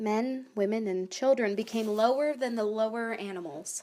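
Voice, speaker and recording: At a moderate pace and with ordinary pitch variation, the speaker has a dark, mellow tone. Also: woman. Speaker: animator and narrator. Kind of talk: reading aloud.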